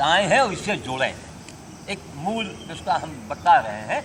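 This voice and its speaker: Over noticeable background noise, a man talks with a high pitch. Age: 70s. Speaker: sadhu giving health advice. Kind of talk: informal talk to a group. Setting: yoga group gathering.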